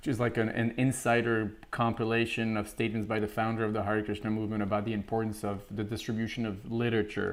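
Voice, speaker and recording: A man with an American accent speaks at a very fast pace with hardly any pauses. His intonation stays monotone and flat. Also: medium pitch for a man. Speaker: podcast co-host, Hare Krishna monk. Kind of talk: casual conversational podcast about scripture. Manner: stammering repetitions.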